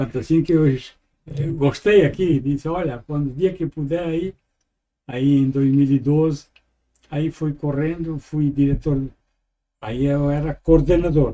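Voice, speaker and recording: Speaking at a fairly slow pace, a man has a dark, mellow tone and fairly even intonation. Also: fairly high pitch for a man. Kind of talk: interview. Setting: studio. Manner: halting.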